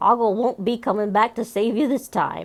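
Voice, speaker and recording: A woman puts on a gruff character voice at a fairly high pitch. She speaks at a moderate pace. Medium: read story. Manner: gruff, ungrammatical, petulant.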